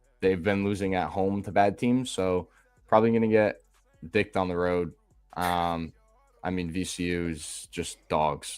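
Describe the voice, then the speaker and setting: Music plays in the background as a man with a Boston accent speaks at a moderate pace. His pitch is very deep and low, and he takes long, frequent pauses. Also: fairly even intonation. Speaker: sports betting podcast host. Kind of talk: casual chat.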